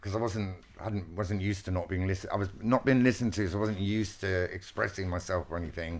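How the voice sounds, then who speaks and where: On a very clean recording with a silent background, a man with a southern English accent talks fairly quickly at a fairly low pitch. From Wiltshire, England. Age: 50s. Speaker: textile artist. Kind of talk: interview conversation. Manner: animated, excitable.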